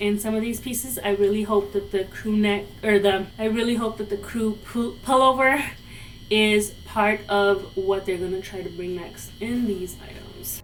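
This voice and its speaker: Over music in the background, a woman with a Spanish accent speaks slowly-ish and flat, her medium pitch held in a monotone at a fairly slow pace. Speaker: fashion YouTuber. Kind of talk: product review. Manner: casual, chatty.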